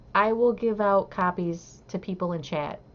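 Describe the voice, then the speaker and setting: A woman speaks with a slight northern US accent and ordinary pitch variation. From US Midwest, Southeast Michigan. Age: 50s. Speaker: crochet livestreamer. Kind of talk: casual livestream chat. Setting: live stream, reading chat.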